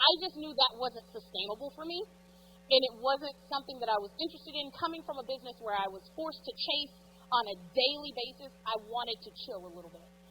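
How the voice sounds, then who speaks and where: A woman with a Texan accent speaks at a very fast pace and a high pitch. Her intonation is lively, with big swings in loudness. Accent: Texas Southern. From East Texas. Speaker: realtor and business coach. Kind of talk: conference talk. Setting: stage with audience. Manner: informal.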